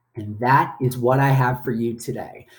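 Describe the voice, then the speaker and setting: The man's voice has a somewhat breathy quality. You can hear echo in the room. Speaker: statistics lecturer. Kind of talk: recorded lecture.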